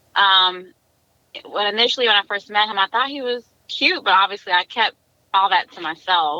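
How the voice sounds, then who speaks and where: With a Southern US accent, a woman speaks in a bright, sharp tone at a moderate pace with ordinary pitch variation, recorded dry and close with no echo. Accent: country Southern. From South Carolina. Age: 30s. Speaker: interview guest. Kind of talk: casual interview.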